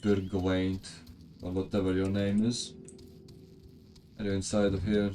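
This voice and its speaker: Monotone, flat speech from a man with a non-native accent and a fairly low pitch, with music in the background. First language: not English. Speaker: video game streamer. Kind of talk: live gameplay stream, reading game dialogue aloud with chat replies. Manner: casual, stumbling over unfamiliar names.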